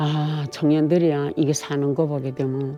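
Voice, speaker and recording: At a fairly slow pace, the voice talks over music playing in the background. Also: woman. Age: 80s+. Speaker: North Korean defector interviewee. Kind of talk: interview testimony. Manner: halting.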